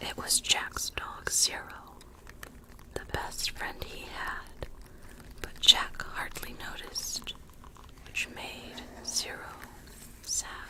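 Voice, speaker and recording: A woman whispering very slowly, with long, frequent pauses, big swings in loudness, and noticeable background noise. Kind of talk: storybook reading. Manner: soft-spoken.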